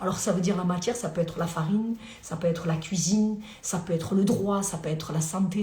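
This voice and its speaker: A woman's animated, medium-pitched voice at a very fast pace, with audible room echo and noticeable background noise. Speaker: lawyer. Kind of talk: live stream Q&A. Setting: live video stream at home.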